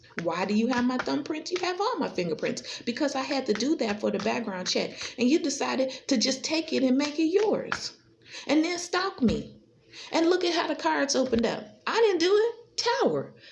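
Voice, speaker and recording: With noticeable background noise behind her, a woman speaks at a high pitch in an animated tone, at a moderate pace with very wide pitch swings. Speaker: tarot reader. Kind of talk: tarot reading monologue.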